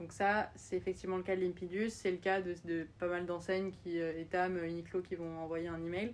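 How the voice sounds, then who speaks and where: A woman with a fairly low pitch delivers her words in monotone, flat intonation at a moderate pace. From France. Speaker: startup founder. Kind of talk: interview.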